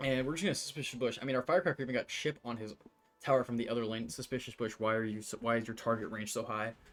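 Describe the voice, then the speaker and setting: A man talks very fast at a medium pitch with ordinary pitch variation. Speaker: gaming youtuber. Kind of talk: gameplay commentary. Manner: casual, with fillers.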